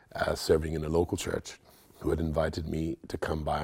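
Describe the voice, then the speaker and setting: A man speaks in a very deep, low pitch. His voice is somewhat breathy. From Nigeria. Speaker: pastor. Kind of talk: interview. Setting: studio.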